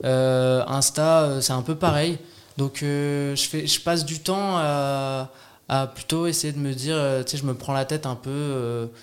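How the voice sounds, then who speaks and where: A man speaks at a very slow pace with fairly even intonation. His pitch sits fairly high. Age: 30s. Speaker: actor. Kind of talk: casual chat. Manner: halting.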